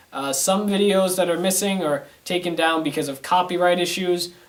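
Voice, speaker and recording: Fairly quick male speech with noticeable background noise behind it. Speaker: online video reviewer. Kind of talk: casual to-camera monologue. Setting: home studio, to camera.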